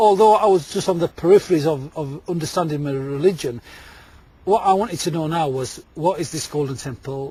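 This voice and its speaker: A man's fairly high voice with a Yorkshire accent, a fairly quick pace, ordinary pitch variation, and noticeable background noise. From Yorkshire, Leeds. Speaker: storyteller. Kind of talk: interview. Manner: halting, repetitive.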